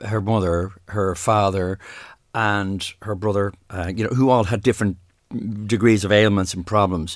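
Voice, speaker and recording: A man with a Dublin accent speaks at a moderate pace in a fairly low pitch, his intonation fairly even, on a very clean recording with a silent background. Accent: Irish, Dublin. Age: 60s. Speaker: singer, podcast guest. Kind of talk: casual interview about grief. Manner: halting, many false starts and repetitions.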